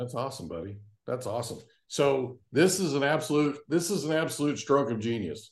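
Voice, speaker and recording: A man's fairly high, lively voice at a fairly quick pace, with vocal fry. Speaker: podcast host and real estate professional. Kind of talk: casual interview.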